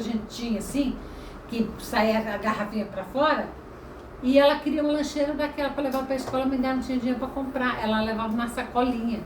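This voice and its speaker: A woman talks at a very fast pace and a high pitch, with fairly even intonation. There is noticeable background noise along with audible room echo. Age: 60s. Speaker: holistic therapist. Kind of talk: casual talk to camera. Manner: conversational, storytelling.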